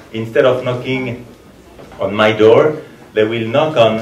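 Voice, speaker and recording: Through noticeable background noise and audible room echo, a man with a French accent speaks at a fairly slow pace. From France. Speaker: ambassador. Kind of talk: formal speech.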